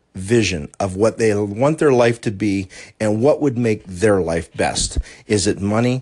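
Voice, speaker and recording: A man with an American accent talks at a moderate pace in a fairly low pitch, using lively intonation. He has an unremarkable speaking voice, and the background is quiet. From US, southwestern Pennsylvania. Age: 50s. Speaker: life coach podcaster. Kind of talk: solo motivational podcast monologue.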